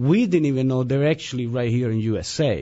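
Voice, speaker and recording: The speech has a slight Italian accent and moves at a moderate pace. The intonation is lively. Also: man. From Italy, Turin. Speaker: musician. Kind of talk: radio interview. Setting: radio studio.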